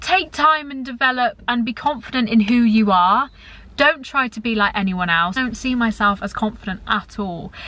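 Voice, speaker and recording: Loud and bright, with a sharp tone, a woman speaks at a moderate pace in a fairly high voice with lively intonation, recorded very cleanly against a silent background. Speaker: YouTuber. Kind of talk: casual chat. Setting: in a car. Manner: chatty.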